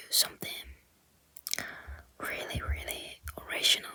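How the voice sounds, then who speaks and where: A woman whispers in a Japanese accent. Noticeable background noise is present. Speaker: ASMR content creator. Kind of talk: ASMR-style whispered talk about movie flyers. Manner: soft, whispered, hesitant, with filler words.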